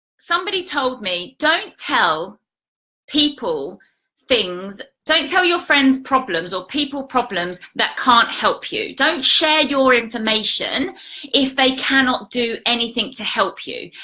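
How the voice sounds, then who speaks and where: A high-pitched woman speaks in a raised, projected voice with a bright, sharp tone, very wide pitch swings, and a fairly slow pace. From British. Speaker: life coach. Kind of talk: casual live stream talk to viewers.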